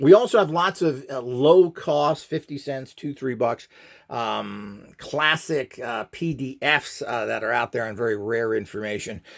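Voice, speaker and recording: On a very clean recording with a silent background, a man speaks at a fairly slow pace with lively intonation and big swings in loudness. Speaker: channel host demonstrating esoteric tools. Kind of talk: casual video monologue with channel promotion. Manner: hesitant, many filler words.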